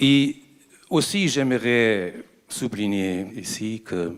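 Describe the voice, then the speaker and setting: With a German accent, a man talks at a fairly low pitch. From Germany. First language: German (speaking French). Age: 60s. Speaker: ambassador, audience member asking a question. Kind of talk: audience question at a conference debate. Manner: halting, with hesitations.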